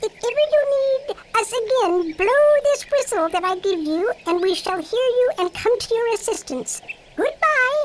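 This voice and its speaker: Putting on a character voice, a woman speaks squeakily at an extremely high pitch with very wide pitch swings and a moderate pace. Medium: audio drama. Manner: gracious, regal.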